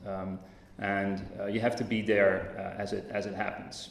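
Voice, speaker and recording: A man with a Dutch accent speaks at a fairly low pitch in a monotone, flat intonation. Audible room echo and noticeable background noise are present. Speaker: tech company representative. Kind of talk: conference talk. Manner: hesitant, many fillers.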